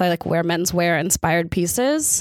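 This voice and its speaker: In a plain, everyday voice with an American accent, the speaker talks at a fairly slow pace, the sound dry and close with no echo on a very clean recording against a silent background. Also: woman. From Texas. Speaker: celebrity fashion stylist. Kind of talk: casual chat.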